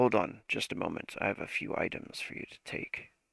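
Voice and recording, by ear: Putting on a character voice, a man speaks raspy and fairly low at a moderate pace, with big swings in loudness.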